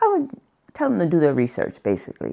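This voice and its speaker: Over a quiet background, a woman speaks in a dark, mellow tone with vocal fry. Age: 70s. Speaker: customer. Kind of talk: testimonial interview. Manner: halting, conversational.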